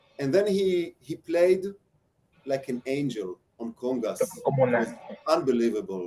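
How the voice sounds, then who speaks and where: This man has a fairly high pitch and a dark, mellow tone, speaking with an Israeli accent. He talks at a fairly slow pace with very wide pitch swings. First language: Hebrew. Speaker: percussionist giving a masterclass. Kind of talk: masterclass with feedback to students; personal anecdote. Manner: halting, many fillers.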